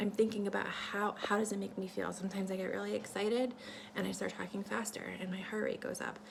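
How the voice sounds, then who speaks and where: Very fast speech amid noticeable background noise and audible room echo. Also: woman. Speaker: vlogger sharing ideas for a book. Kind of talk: casual talk-to-camera monologue, partly reading a script. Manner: many fillers and restarts.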